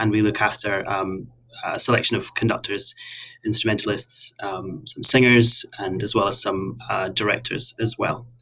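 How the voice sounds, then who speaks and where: With a slight Scottish accent, a man of medium pitch speaks at a moderate pace with fairly even intonation. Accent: mild Scottish. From west of Scotland. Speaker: artist manager. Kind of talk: casual interview.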